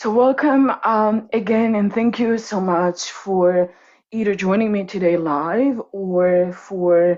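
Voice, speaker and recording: A woman speaks with a Croatian accent. Her pitch is medium, with ordinary variation. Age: 30s. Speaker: coach and workshop presenter. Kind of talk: online workshop presentation.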